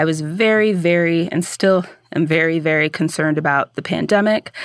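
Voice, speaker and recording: A woman with a General American accent and an unremarkable speaking voice talks at a moderate pace and a fairly low pitch with ordinary pitch variation, in a very clean recording with a silent background and a dry, close sound with no echo. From US Southwest (Phoenix, Arizona). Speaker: podcaster. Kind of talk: interview answers.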